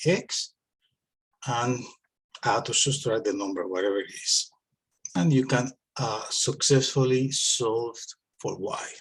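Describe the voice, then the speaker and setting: A man speaks at a medium pitch with ordinary pitch variation and a somewhat breathy quality. His pace is fairly slow, broken by long, frequent pauses. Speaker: math teacher. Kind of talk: tutorial. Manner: hesitant with filler words.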